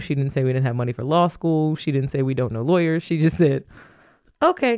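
In a US Midwestern accent, a woman speaks at a fairly quick pace with a very deep, low pitch and a dark, mellow tone. Her pitch variation is ordinary, and the recording is very clean with a silent background. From Toledo, Ohio (US Midwest). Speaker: lawyer and inclusion director. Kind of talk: podcast interview.

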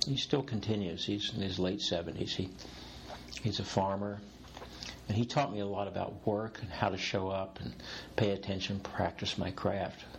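Noticeable background noise behind a man at a moderate pace, his speech broken by long, frequent pauses. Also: fairly low pitch for a man, ordinary pitch variation. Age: 60s. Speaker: executive coach. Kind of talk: interview conversation. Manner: humorous, playful.

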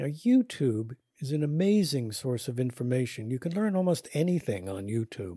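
In a very clean recording with a silent background, a man with a medium-pitched, dark, mellow and somewhat breathy voice talks at a moderate pace with very wide pitch swings. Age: 70s. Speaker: podcast host and educator on caregiving. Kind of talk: scripted narration.

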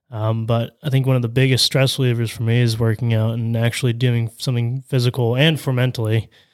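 Speaking at a very fast pace with hardly any pauses, a man with a Midwestern American accent holds a medium pitch in a monotone, flat intonation, captured on a very clean recording against a silent background. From Ohio, US Midwest. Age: 20s. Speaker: construction estimator. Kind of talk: casual interview.

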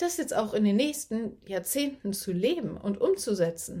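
Somewhat breathy and fairly high, a woman's voice carries lively intonation at a fairly slow pace. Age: 30s. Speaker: online business coach. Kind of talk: solo podcast monologue. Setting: recording early morning. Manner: casual, chatty.

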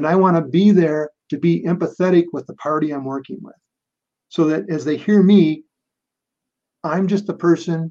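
Fairly high-pitched yet dark and mellow, a man's passionate voice shows ordinary pitch variation, big swings in loudness, and long, frequent pauses. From Minnesota, US. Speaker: mediator and author. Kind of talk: interview conversation. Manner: fast talker.

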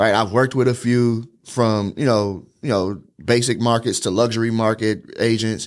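Speaking with hardly any pauses at a moderate pace, a man uses a normal speaking voice of medium pitch, fairly even intonation and very even loudness, in a very clean recording with a silent background. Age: 30s. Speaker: social media agency owner. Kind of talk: casual chat.

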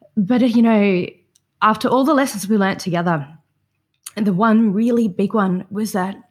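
Spoken with an Australian accent at a fairly slow pace, the clip is a very clean recording with a silent background. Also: woman. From southeast Queensland, Australia. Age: young. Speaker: psychotherapy student and equine-assisted therapy provider. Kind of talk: casual interview conversation.

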